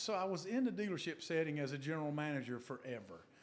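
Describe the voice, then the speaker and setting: A man's very fast speech in a North Carolina accent, with very wide pitch swings. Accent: Southern US (North Carolina). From US South, western North Carolina (Burke County). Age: 60s. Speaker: car dealership executive. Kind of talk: interview. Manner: conversational.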